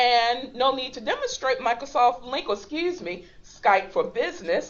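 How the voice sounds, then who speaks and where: Very wide pitch swings mark speech at a fairly slow pace. Noticeable background noise is present. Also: woman. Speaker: instructional technology trainer. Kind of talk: online training webinar. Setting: web conference call.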